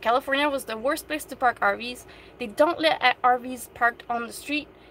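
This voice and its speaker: A woman with a French Canadian accent uses a raised, projected voice, high in pitch, at a moderate pace. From Quebec. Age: 30s. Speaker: van-dwelling vlogger. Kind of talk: live stream Q&A chat. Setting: in her van. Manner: animated.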